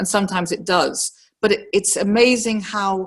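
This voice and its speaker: A woman with a slight northern English accent and ordinary pitch variation, over a quiet background. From northern England, Liverpool. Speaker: professional woman speaking on career experience. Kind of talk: personal reflection talk.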